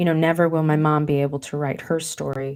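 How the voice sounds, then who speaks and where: A woman talks at a very deep, low pitch with fairly even intonation. The recording is very clean, with a silent background. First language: Mandarin. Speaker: leadership coach and author. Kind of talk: podcast interview.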